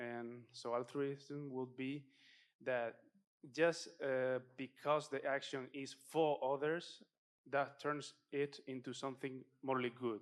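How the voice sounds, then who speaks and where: Very slowly and in a flat monotone, a man speaks at a medium pitch with a non-native accent. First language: not English. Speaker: audience member asking a question. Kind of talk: audience question. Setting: conference talk with audience. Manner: halting, many fillers.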